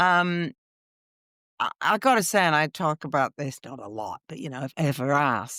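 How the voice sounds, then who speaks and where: Speaking with a Canadian accent, a woman has a bright, sharp tone and a moderate pace. The recording is very clean, with a silent background and a dry, close sound with no echo. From Canada, Vancouver. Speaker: radio drama actress. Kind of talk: interview. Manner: halting.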